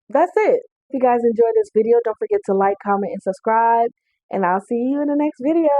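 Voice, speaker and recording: A loud woman's voice, high-pitched and animated, at a fairly quick pace with lively intonation. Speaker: fitness vlogger. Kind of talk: vlog monologue.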